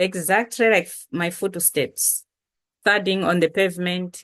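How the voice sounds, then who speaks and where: Against a quiet background, a woman speaks at a fairly slow pace with a fairly low pitch. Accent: strong Malawian. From Malawi. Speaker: poet. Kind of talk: poetry reading. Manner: loud.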